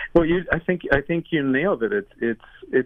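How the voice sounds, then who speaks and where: A man talking at a very fast pace with lively intonation, amid noticeable background noise. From Cuba. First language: Spanish. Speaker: author and speaker. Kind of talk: interview.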